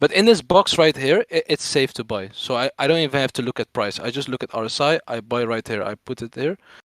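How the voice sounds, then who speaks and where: A man with a non-native accent, fairly high pitch, lively intonation and a fairly quick pace. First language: not English. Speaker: crypto trader explaining chart analysis. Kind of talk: live stream tutorial. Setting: live stream. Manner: stutter.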